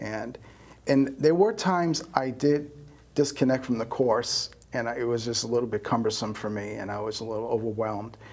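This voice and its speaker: A man with a New York accent, medium pitch, at a fairly quick pace. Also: ordinary pitch variation. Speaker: astrologer. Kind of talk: interview. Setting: studio.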